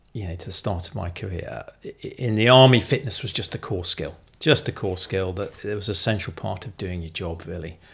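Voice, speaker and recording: A man with a British accent at a fairly quick pace, his pitch swinging very widely and his loudness shifting in big swings. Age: 60s. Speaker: retired army officer and former CEO, amateur cyclist. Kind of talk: interview conversation.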